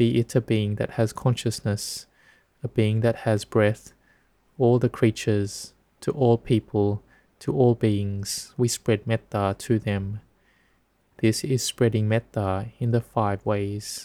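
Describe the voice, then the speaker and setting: On a very clean recording with a silent background, a man speaks very slowly in a calm, gentle, dark and mellow tone with fairly even intonation. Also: medium pitch for a man, dry, close sound with no echo. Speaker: Buddhist monk teaching Dhamma. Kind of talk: guided meditation. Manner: slow, calm, gentle and soothing.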